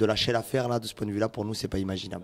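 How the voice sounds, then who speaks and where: This is a man speaking. He has a Toulouse accent. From Toulouse, southern France. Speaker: musician. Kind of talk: interview. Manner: hesitant, many fillers.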